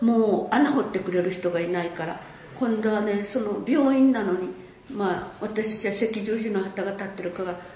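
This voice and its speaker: A woman speaks at medium pitch and a moderate pace with ordinary pitch variation. Noticeable background noise and audible room echo are in the recording. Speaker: war survivor and peace museum director. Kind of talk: testimony.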